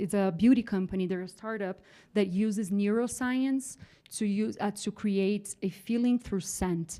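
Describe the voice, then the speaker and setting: With a Latin American accent, a woman of medium pitch speaks at a moderate pace in a dark, mellow tone with fairly even intonation, on a very clean recording with a silent background. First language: Spanish. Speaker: trend forecaster. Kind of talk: conference talk.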